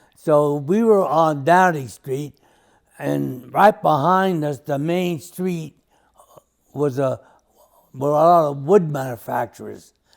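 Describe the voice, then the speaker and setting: A fairly high-pitched man with a New York accent, very slow pace, long and frequent pauses, and ordinary pitch variation. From New York City. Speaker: interviewee recalling childhood. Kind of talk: family oral history interview. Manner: halting, with restarts.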